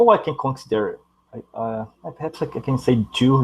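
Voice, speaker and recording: A man talks with a non-native accent. His intonation stays fairly even. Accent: non-native English accent, noticeable. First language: Portuguese. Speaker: university student. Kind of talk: casual chat. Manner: halting.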